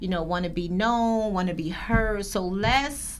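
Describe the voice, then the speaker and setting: With audible room echo, a woman at a medium pitch talks at a moderate pace in fairly even intonation. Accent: New Jersey. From Paterson, New Jersey. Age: 40s. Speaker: podcast host. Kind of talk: interview.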